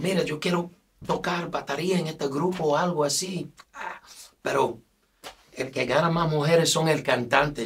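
The speaker talks at a moderate pace with an English accent, over light background noise. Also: man. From United States. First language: English (speaking Spanish). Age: 50s. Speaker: singer; guest. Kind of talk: casual interview. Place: studio.

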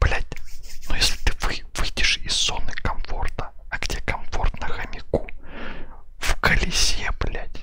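A man is whispering. His pace is very slow. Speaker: live streamer. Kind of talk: casual stream rant to chat. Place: home room. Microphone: headset.

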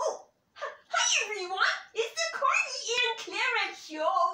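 A cartoonish character voice squeaks at an extremely high pitch. It moves at a fairly slow pace with slight echo. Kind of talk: comedy puppet show host talk. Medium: puppet. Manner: hesitant, halting.

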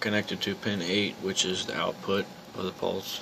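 Monotone, flat intonation runs at a moderate pace over noticeable background noise. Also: man. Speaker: electronics hobbyist. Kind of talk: casual electronics demo to camera. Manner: mumbling.

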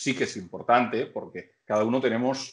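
Speaking at a moderate pace, a man talks with a Catalan accent. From Catalonia. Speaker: band vocalist interviewed. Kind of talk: casual chat. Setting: video call. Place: home room. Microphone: video call.

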